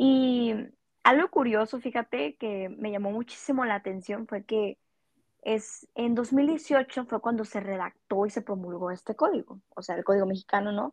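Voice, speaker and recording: A woman with an unremarkable speaking voice talks at a fairly slow pace and fairly high pitch, with ordinary pitch variation and a dry, close sound with no echo. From Mexico, Culiacán, Sinaloa. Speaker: psychology student, podcast co-host. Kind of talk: casual chat.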